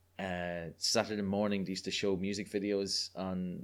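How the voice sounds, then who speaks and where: A man's very deep, low voice with an Irish accent, at a moderate pace. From Ireland. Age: 30s. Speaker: guest. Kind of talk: casual interview chat. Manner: animated, humorous.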